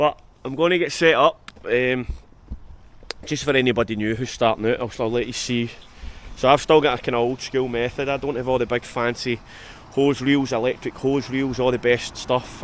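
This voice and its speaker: A man speaks with a strong Scottish accent at a medium pitch. His pace is moderate and his intonation fairly even. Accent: Scottish, strong enough that viewers struggle. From Scotland. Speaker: exterior cleaning business owner and vlogger. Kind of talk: casual work vlog talk to camera. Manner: hesitant, many fillers and repeats.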